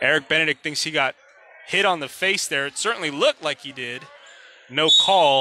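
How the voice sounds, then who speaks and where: A man with a fairly high pitch speaks at a moderate pace with long, frequent pauses, the sound dry with no echo and noticeable background noise behind him. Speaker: sports commentator. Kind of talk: live sports commentary, play-by-play of a basketball game. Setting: arena broadcast of a game. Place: hall.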